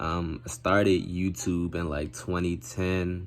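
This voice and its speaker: A man talks quietly in a very deep, low pitch, with audible room echo around him. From Maryland, US. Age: 20s. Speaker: gaming YouTuber. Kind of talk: self-introduction to camera. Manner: quiet, talking low; casual, slangy.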